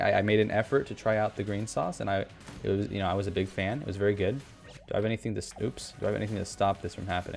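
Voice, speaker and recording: A man with a fairly low pitch at a very fast pace, music in the background. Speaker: gaming YouTuber. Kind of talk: gameplay commentary. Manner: stutter; halting.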